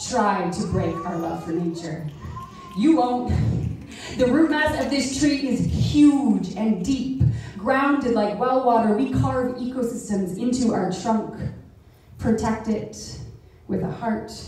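Amid strong room echo, a woman with a fairly high pitch and lively intonation speaks very slowly, leaving long, frequent pauses. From Canada. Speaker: poet. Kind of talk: poem performed. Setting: live event in a club hall. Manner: rhythmic, spoken-word cadence with deliberate pauses; earnest, lyrical and rising toward a civic call to action. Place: hall.

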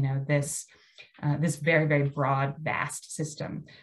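The speaker has an American accent and a somewhat breathy voice at a moderate pace. The background is quiet. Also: woman. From US Mid-Atlantic (Maryland). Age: 50. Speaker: landscape architect presenter. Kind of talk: lecture. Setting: video call. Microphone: video call.

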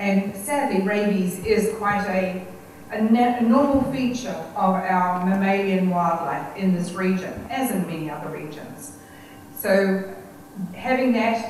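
A woman speaks with ordinary pitch variation amid strong room echo and light background noise. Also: big swings in loudness. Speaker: guest lecturer. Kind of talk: lecture. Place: hall.

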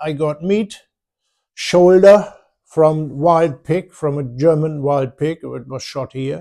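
Over a quiet background, a man speaks very slowly in a dark, mellow tone with fairly even intonation. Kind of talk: casual vlog chat. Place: home room. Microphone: phone near.

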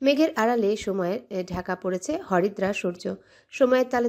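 What is heard here is a natural reading voice.

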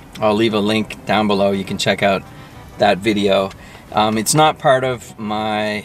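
Over faint music in the background, a man with a fairly low pitch speaks at a fairly slow pace, his fairly even intonation heard as dry sound with no echo. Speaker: food vlogger. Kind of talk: casual vlog chat. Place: car.

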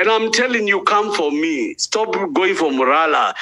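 A man with a Kenyan accent uses a raised, projected voice with a bright, sharp tone. His pitch is high, swinging very widely, at a moderate pace. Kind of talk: rally speech, fiery political oration. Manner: loud, impassioned, urgent; repetitive, declamatory, switches between English and Swahili.

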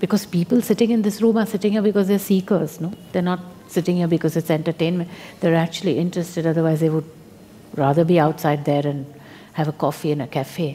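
A woman's fairly low voice at a very fast pace, with ordinary pitch variation. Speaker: spiritual teacher. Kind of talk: spiritual talk to an audience. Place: hall.

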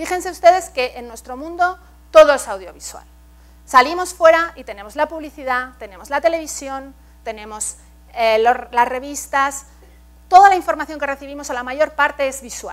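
A woman speaks with a high pitch and lively intonation. Her loudness swings widely. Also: moderate pace. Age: 40s. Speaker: art education expert and professor; professor. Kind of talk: keynote lecture. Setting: stage with audience. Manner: engaging, interactive with audience. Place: hall. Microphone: lapel.

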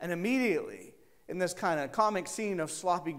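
Someone is heard here. It is reading aloud in a natural voice.

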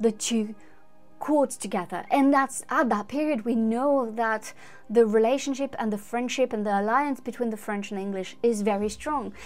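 Faint music plays in the background as a woman speaks. She keeps a moderate pace and ordinary pitch variation. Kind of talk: commentary. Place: home room.

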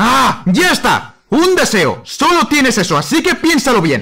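The man's pitch is extremely high in a put-on character voice. His pace is fairly slow. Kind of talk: fan dub of comedy sketch.

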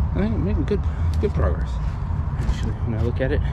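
Loud background noise dominates the recording. A man's voice comes through it. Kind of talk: casual vlog chat. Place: forest. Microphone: phone near.

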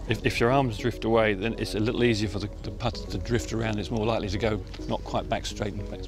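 Speaking at a fairly quick pace, a man with a fairly low pitch is heard in a dry recording with no echo, over clear background music. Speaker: putting coach. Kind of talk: interview answer. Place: open country.

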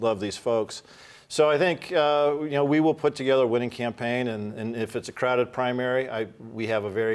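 Ordinary pitch variation at a fairly quick pace. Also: man. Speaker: candidate. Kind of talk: interview answer. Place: studio.

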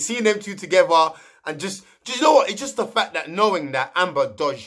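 A man speaks in a raised, projected voice at a fairly quick pace against a quiet background. His tone is animated, passionate, bright and sharp. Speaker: youtuber commenting on reality TV. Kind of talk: casual vlog commentary. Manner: loud at times. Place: home room. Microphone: webcam.

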